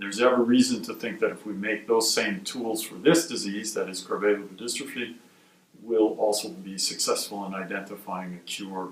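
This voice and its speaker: Amid noticeable background noise and audible room echo, a man with a fairly low voice talks at a fairly quick pace, with ordinary pitch variation and big swings in loudness. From US Midwest, Milwaukee, Wisconsin. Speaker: medical research scientist, institute director. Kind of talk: interview.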